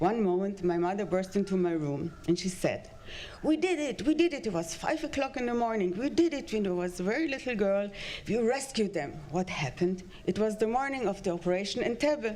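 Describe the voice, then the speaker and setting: Against noticeable background noise, a woman at a medium pitch talks at a fairly quick pace with very wide pitch swings. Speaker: eulogy speaker. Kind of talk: eulogy. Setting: podium at community ceremony. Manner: halting.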